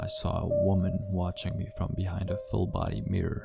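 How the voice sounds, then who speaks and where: A man with a very deep, low pitch and lively intonation at a moderate pace, music in the background. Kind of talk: horror story narration.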